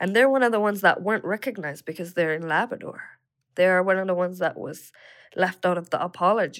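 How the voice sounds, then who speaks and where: A woman's medium-pitched voice at a very fast pace with ordinary pitch variation. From Nunavik, northern Quebec. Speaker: youth council leader. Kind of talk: casual chat.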